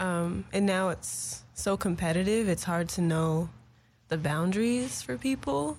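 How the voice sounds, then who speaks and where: With an American accent, a woman speaks at a fairly slow pace and a fairly low pitch, somewhat breathy. Her intonation is lively while her loudness stays very even. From Los Angeles, US. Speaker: singer-songwriter. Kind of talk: casual interview. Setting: studio.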